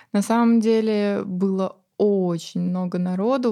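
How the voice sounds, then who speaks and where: Her medium-pitched voice is a normal speaking voice, and this woman keeps a fairly even intonation. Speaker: course curator and channel author. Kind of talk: casual chat. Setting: studio.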